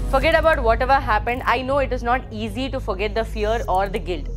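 A woman talks at a very fast pace while clear music plays in the background. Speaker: exam coaching teacher. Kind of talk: motivational talk to students. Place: studio. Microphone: lapel.

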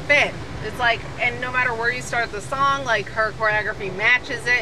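A woman speaks in a dry recording with no echo. Background noise is noticeable. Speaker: vlogger. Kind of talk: casual vlog chat. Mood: upbeat, animated. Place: car. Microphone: phone near.

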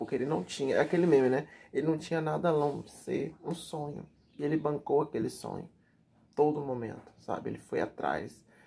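Speaking at a fairly quick pace, a man lets his loudness swing widely. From Brazil. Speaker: YouTube TV news commentator; TV gossip commentator. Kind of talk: casual vlog commentary; casual vlog chat. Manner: chatty, filler-heavy. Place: home room. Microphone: webcam.

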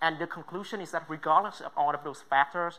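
The words come at a very fast pace in a Vietnamese accent. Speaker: student entrepreneur. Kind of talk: pitch presentation. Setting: stage with judges.

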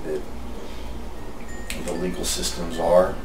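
Noticeable background noise is present. A man is talking. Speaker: fraud investigator and investigations coordinator. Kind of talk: interview answer. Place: office.

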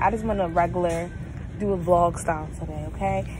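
A woman's voice sounds dry with no echo amid noticeable background noise. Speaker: vlogger. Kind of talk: casual vlog chat. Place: shop. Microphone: phone near.

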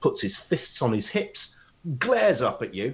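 A man's medium-pitched voice with a slightly husky edge, big pitch swings and a fairly slow pace

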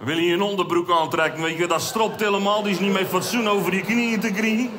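Over noticeable background noise, a man talks at a moderate pace with ordinary pitch variation. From Zeeland, Netherlands. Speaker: amateur cabaret comedian. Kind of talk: stand-up comedy routine. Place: stage. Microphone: headset.

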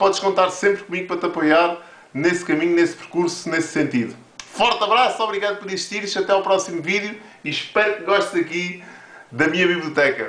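Amid audible room echo, a man with a European Portuguese accent speaks at a fairly quick pace and a high pitch, with ordinary pitch variation. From Portugal. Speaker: motivational video creator. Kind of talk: motivational monologue to camera. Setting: home office with camera on tripod. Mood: warm, encouraging. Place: office. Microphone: webcam.

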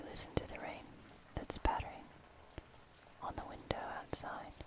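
Soft-spoken whispering comes through with a dry sound and no echo, against loud background noise. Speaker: ASMR host. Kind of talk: soft-spoken comforting talk. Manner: soft slow ASMR whisper. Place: home room.

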